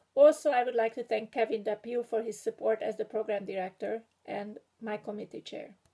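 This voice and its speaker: A woman's fairly high, dark and mellow voice in a strong Hungarian accent, at a moderate pace with fairly even intonation. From Hungary. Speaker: graduating PhD student and writing instructor. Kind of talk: prepared graduation speech. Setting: video recording. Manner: formal.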